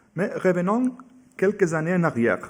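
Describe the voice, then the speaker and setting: A man keeps a moderate pace, his intonation lively. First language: Catalan or Spanish (speaking French). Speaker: museum curator giving a talk. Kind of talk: lecture. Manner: halting, with hesitations.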